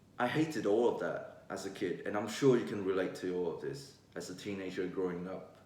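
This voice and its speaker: A man with a fairly low pitch talks at a fairly quick pace. His pitch varies in an ordinary way, with noticeable background noise behind him. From Vietnam. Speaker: vlogger. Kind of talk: casual vlog monologue.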